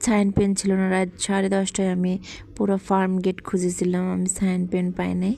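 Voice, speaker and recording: A woman speaks in a medium pitch with a dark, mellow tone. Her intonation stays monotone and flat. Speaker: vlogger. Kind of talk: cooking vlog narration. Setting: home kitchen.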